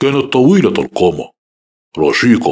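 A man performs a put-on character voice. His tone is calm. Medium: read story. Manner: calm, measured.

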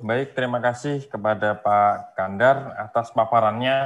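This male voice has a medium pitch. His intonation is fairly even. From Indonesia. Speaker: webinar moderator. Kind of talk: moderating a webinar; formal moderation and summary. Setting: video call. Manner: halting, many fillers.

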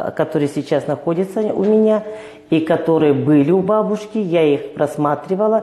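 Audible room echo surrounds a woman speaking at a moderate pace in a fairly low voice. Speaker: interview guest. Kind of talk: interview answer. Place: studio. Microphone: lapel.

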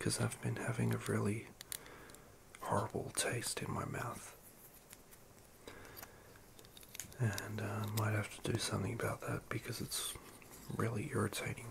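Whispering in a soft-spoken way at a moderate pace, the speaker leaves long, frequent pauses over noticeable background noise. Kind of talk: casual vlog chat. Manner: soft ASMR whisper. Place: home room. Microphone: phone near.

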